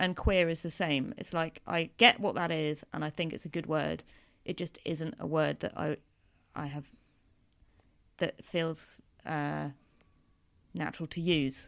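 Vocal fry runs through this moderate-paced speech, which has ordinary pitch variation, long, frequent pauses, and a very clean recording with a silent background. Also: woman. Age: 30s. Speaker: comedian. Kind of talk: interview.

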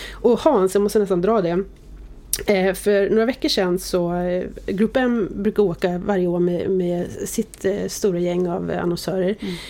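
A woman at a moderate pace, dark and mellow in tone. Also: medium pitch for a woman, fairly even intonation. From Sweden, Oxelösund. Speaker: media executive. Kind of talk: interview.

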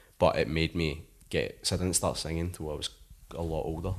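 A man's very deep, low voice in a west of Scotland accent, fairly quick and fairly even in intonation, over a quiet background. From Scotland, Paisley. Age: 20s. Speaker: rock musician. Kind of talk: casual chat. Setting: at home.

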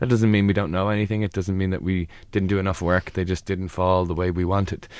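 The voice carries an Irish accent. The pace is fairly quick. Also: man, very clean recording, silent background. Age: 40s. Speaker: psychologist. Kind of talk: advice interview.

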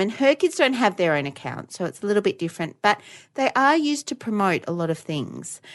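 A woman speaks with an Australian accent and very wide pitch swings. The background is quiet. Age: 30s. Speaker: podcast co-host, educator. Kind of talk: casual chat.

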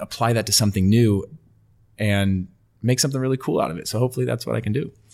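In a normal speaking voice with an American accent and ordinary pitch variation, the speaker is heard on a very clean recording with a silent background. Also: man. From California, US. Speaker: retired professional footballer and football media presenter. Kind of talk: casual interview chat. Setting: podcast interview.

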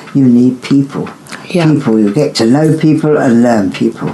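Over noticeable background noise, a woman speaks at a moderate pace with ordinary pitch variation and very even loudness. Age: 90s. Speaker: grandmother interviewed about love in wartime. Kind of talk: casual interview.

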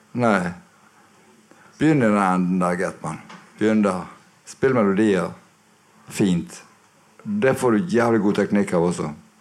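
Pausing long and often, a man with a fairly low pitch talks at a fairly slow pace. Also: ordinary pitch variation. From Bergen, Norway. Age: 60s. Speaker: guitarist and producer. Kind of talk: live interview. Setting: record shop with live audience. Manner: soft-spoken.

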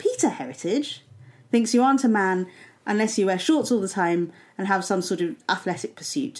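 A woman's plain, everyday voice, medium in pitch, fairly quick and lively in intonation, on a very clean recording with a silent background. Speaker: podcast co-host. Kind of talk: casual comedic banter.

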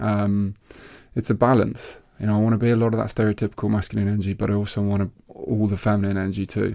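The man talks at a very fast pace. His intonation is monotone and flat. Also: fairly low pitch for a man. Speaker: podcast co-host and life coach. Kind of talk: casual chat.

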